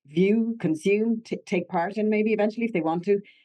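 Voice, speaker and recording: A woman's voice has a dark, mellow tone and ordinary pitch variation. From Ireland, Connemara. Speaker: actor. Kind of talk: interview.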